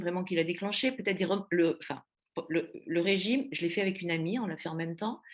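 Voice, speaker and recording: At a very fast pace, a woman with a fairly low pitch talks using ordinary pitch variation. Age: 60s. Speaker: eating disorder patient giving testimony. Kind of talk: testimony. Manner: halting, many hesitations.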